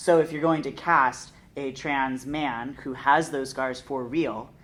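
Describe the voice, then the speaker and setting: Amid audible room echo, a woman speaks very slowly in a very deep, low pitch with fairly even intonation. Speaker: theatre artist. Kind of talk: panel discussion. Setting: theatre.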